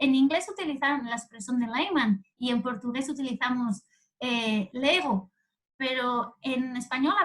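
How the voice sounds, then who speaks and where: A woman speaks in a high voice. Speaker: doctoral candidate lecturer. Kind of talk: lecture. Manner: fast; halting.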